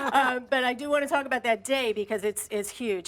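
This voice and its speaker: Woman at a fairly quick pace with ordinary pitch variation, on a very clean recording with a silent background. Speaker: astrologer. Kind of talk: TV interview. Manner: fast.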